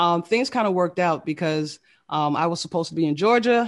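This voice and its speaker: A woman with a normal speaking voice and an American accent, fairly low in pitch, against a quiet background. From US South, Fort Lauderdale, Florida. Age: 30s. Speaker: vodka brand founder. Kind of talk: casual chat.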